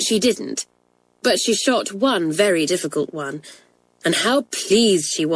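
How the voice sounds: The clip features a natural reading voice. The intonation is lively.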